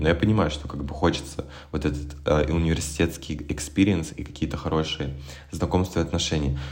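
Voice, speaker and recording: Noticeable background noise runs through the clip. In it, a man talks with ordinary pitch variation. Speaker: musician and graduate student. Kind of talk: casual chat. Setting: remote call.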